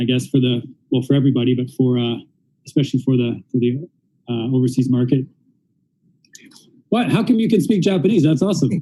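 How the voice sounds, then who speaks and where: Very fast speech in a Canadian accent, dark and mellow in tone, with ordinary pitch variation, is broken by long, frequent pauses. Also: man, medium pitch for a man. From Canada. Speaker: interviewer and interpreter. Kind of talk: live-streamed interview with interpreting. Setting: live stream in a store. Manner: casual, animated.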